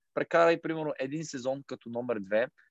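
It is a normal speaking voice, a man at medium pitch moving at a fairly quick pace. The sound is dry and close with no echo, and his pitch varies in an ordinary way. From Bulgaria, Kozloduy. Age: 20s. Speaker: football goalkeeper. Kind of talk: interview.

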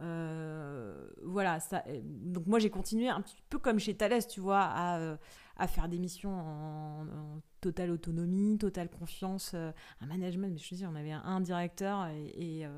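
A woman's fairly low voice, fairly slow, with ordinary pitch variation and big swings in loudness. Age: 30s. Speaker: business executive in venture capital. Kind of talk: interview. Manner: hesitant, many fillers and repetitions; casual, conversational.

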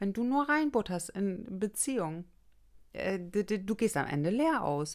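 A woman speaks very slowly at medium pitch with very wide pitch swings. The recording is very clean, with a silent background. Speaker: relationship coach, podcast host. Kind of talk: solo podcast monologue.

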